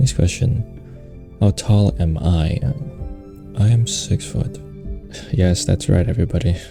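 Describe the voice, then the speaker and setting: Over music in the background, a man speaks at a fairly slow pace with long, frequent pauses and very even loudness. His very deep, low pitch moves in very wide swings. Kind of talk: ASMR Q&A, casual talk to camera. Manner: casual, chatty, humorous.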